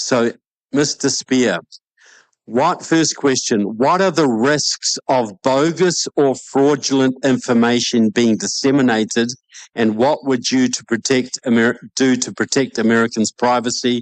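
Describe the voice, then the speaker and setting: A man speaks at a fairly slow pace with a New Zealand accent, his medium pitch showing ordinary variation and his loudness very even. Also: dry, close sound with no echo. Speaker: debate moderator. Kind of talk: debate moderation.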